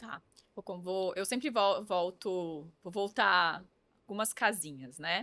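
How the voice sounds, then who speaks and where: At a very slow pace, a woman with a medium pitch speaks in a bright, sharp tone with ordinary pitch variation and big swings in loudness. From interior of São Paulo state, Brazil. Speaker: influencer marketing agency founder. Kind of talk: podcast interview.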